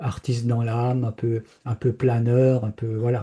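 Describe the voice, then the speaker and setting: In a dark, mellow, somewhat breathy tone, the voice moves fairly slowly with monotone, flat intonation. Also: man. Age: 70s. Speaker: spiritual speaker. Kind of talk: personal testimony in an interview. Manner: hesitant, many fillers and repetitions.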